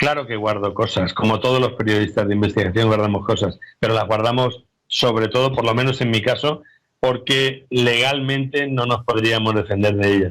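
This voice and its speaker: A man with an unremarkable speaking voice talks at a moderate pace with fairly even intonation. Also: medium pitch for a man. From Spain, Albacete. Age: 60s. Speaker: investigative journalist and author. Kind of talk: interview.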